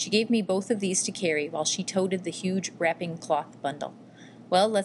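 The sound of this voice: This reading voice stays unforced, with pitch moving in an ordinary way.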